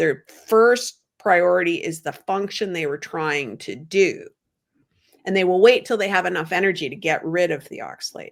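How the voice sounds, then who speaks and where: With a normal speaking voice, a woman talks at a moderate pace and medium pitch on a very clean recording with a silent background. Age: 60s. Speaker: low oxalate diet coach. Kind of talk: interview answer.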